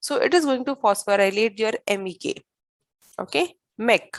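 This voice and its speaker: Recorded dry and close with no echo, the speaker talks at a moderate pace with an Indian accent. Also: woman. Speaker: biology teacher. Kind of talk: lecture.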